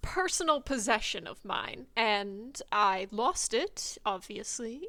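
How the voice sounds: Here we have a natural reading voice.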